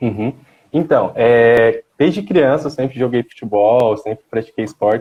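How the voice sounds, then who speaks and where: This man's pitch sits mid-range with typical variation as he talks fairly slowly. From Goiás, Brazil (Itapuranga). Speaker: dentist and CrossFit athlete. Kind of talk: live-stream interview.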